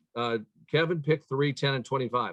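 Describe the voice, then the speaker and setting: A man uses an unremarkable speaking voice, talking at a moderate pace. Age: 60s. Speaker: chiropractor, leadership speaker. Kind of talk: interview.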